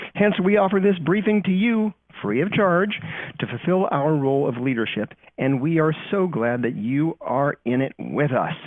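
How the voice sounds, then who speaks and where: Using lively intonation, a man with a fairly high pitch speaks at a moderate pace. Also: very even loudness. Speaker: company trust strategist presenting webinar. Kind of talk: webinar briefing. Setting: recorded online webinar.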